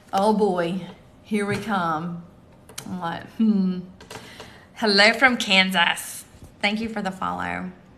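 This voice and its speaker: Over noticeable background noise and audible room echo, a woman at medium pitch speaks at a very slow pace with fairly even intonation, long, frequent pauses and big swings in loudness. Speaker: tarot reader and livestream host. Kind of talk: live stream chat and card reading. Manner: casual, halting.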